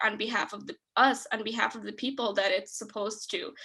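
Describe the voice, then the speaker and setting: A woman with a non-native accent and a bright, sharp tone, fairly high in pitch, at a moderate pace over a quiet background. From Detroit, Michigan. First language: not English. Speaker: nonprofit executive director. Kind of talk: webinar presentation and Q&A.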